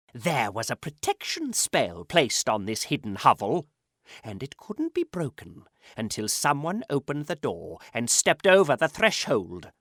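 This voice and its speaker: A put-on character voice with a menacing tone sits at a low-to-middle pitch, swings very widely in pitch and moves at a moderate pace on a very clean recording with a silent background. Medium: read story. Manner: sly, menacing.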